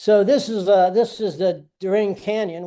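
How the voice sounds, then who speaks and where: A man with an American accent speaks with ordinary pitch variation against a quiet background. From United States. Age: 60s. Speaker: touring cyclist. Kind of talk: webinar presentation. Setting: online webinar. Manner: casual, talkative.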